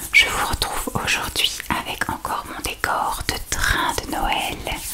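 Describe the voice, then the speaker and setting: A woman is whispering at a very slow pace. Noticeable background noise sits behind her. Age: 40s. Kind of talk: ASMR makeup sorting. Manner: whispered.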